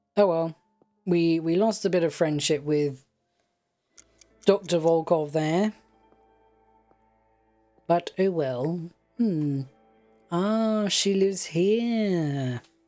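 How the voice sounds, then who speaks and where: The speech moves at a very slow pace with long, frequent pauses and a relaxed, calm tone. Music plays in the background. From United Kingdom. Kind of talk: casual let's play game commentary.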